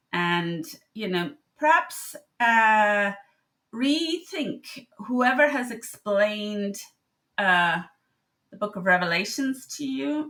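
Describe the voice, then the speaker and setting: With an Irish accent, a woman speaks at a very slow pace in a bright, sharp tone and fairly high pitch, her pitch swinging very widely between long, frequent pauses. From Ireland. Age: 60s. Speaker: medical doctor. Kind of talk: casual monologue. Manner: halting.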